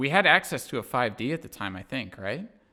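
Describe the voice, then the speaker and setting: In an American accent, a man talks with a bright, sharp tone. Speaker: podcast host and filmmaker. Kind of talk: casual chat.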